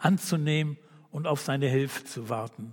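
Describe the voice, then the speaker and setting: A very slow, somewhat breathy man's voice, fairly high in pitch and warm in tone, with ordinary pitch variation, on a very clean recording with a silent background. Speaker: preacher. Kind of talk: sermon in a church service, calm and earnest, closing with a read-out prayer and amen. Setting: church. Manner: earnest, warm and measured, pastoral and conversational.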